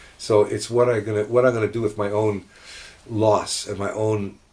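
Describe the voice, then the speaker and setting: Against noticeable background noise, a man talks at a moderate pace with a fairly low pitch and monotone, flat intonation. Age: 70s. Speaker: rabbi. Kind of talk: casual chat.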